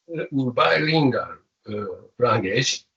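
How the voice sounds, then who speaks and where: This is a man's voice. He speaks with a non-native accent. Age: 70s. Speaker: professor. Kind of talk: lecture. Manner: halting.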